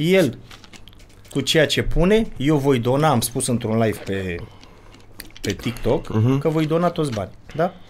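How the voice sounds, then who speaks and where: At a fairly slow pace with long, frequent pauses, a man speaks in a fairly high pitch with lively intonation over light background noise. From Romania. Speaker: father of a child vlogger, would-be fighter; podcast guest. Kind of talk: casual chat. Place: studio. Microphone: studio mic.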